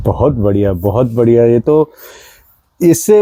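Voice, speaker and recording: Lively intonation rides on a dark, mellow tone, recorded with a dry, close sound and no echo. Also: man. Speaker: podcast host. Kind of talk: casual interview. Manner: code-switches Hindi with English.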